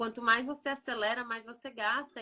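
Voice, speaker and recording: Her fairly high voice has a bright, sharp tone as the woman speaks. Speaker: podcast co-host, immigrant mother. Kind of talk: casual chat.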